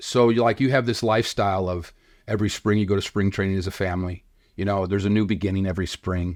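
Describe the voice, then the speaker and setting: Over a quiet background, a man with an American accent and fairly low pitch speaks at a very fast pace. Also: fairly even intonation. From Chicago area. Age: 60s. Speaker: filmmaker and podcaster, son of a baseball player. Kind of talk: interview storytelling.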